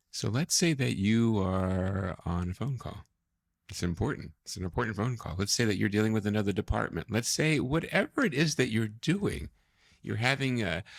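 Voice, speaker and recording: Soft-spoken and at a moderate pace, a man's fairly low voice with lively intonation on a very clean recording against a silent background. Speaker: corporate trainer. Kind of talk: motivational training talk. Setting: studio.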